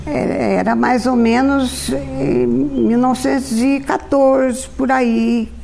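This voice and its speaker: A high-pitched woman speaking very slowly amid noticeable background noise. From rural Minas Gerais, Brazil. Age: 80s+. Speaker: retired teacher and pharmacist. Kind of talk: oral history interview. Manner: halting.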